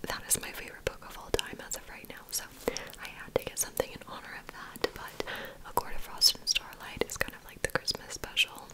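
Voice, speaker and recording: Whispering at a fairly quick pace, a woman's voice swings widely in loudness amid noticeable background noise. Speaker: ASMR creator. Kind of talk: ASMR bookstore checkout roleplay, chatty talk to the listener. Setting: studio, typing and book sounds.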